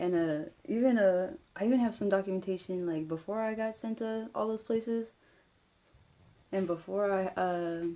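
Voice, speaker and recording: Her dark, mellow voice sits at medium pitch, with ordinary pitch variation and a moderate pace. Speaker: vlogger. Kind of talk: personal vlog monologue. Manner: stutters sometimes; halting, many fillers.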